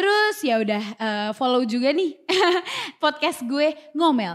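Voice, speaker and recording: An animated woman's voice with very wide pitch swings at a fairly slow pace, in a very clean recording with a silent background. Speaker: podcast host and YouTuber. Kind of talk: casual chat. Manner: animated, code-switching English and Indonesian.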